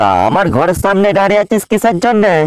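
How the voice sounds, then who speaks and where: At a moderate pace, a cartoonish character voice speaks at a middle pitch. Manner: gruff, suspicious.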